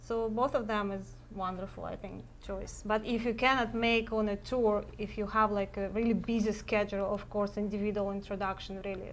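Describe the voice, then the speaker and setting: A woman's monotone, flat voice at medium pitch, with a Russian accent, a moderate pace and audible room echo. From Russia, Saint Petersburg. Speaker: matchmaker. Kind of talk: live web cast Q&A chat. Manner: halting, many fillers.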